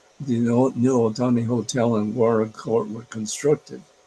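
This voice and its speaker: Against noticeable background noise, a man speaks at a fairly slow pace in a medium pitch with fairly even intonation. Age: 80s+. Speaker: retired urban planner. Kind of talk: interview answer. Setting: video call.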